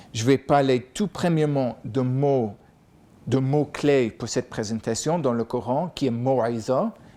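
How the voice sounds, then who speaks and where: A man speaks with an American accent at a fairly slow pace. His medium-pitched voice has a dark, mellow tone and ordinary pitch variation. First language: English (speaking French). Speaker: professor. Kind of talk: lecture.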